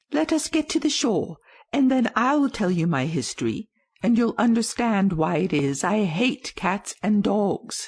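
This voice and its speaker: A shaky put-on character voice at a fairly high pitch comes at a moderate pace. The background is quiet. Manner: emotional, quivering with passion.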